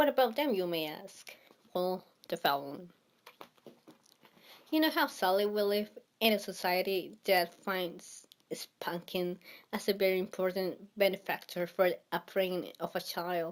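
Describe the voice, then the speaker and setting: At a fairly slow pace, a woman of medium pitch speaks with a strong non-native accent and long, frequent pauses. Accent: thick non-native. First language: not English. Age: 20s. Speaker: vlogger. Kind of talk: casual monologue. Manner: halting.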